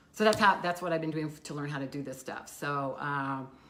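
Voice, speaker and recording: A woman talks loudly at a fairly quick pace. Noticeable background noise runs behind her. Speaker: local community live show co-host. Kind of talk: casual chat. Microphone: no microphone worn, room audio.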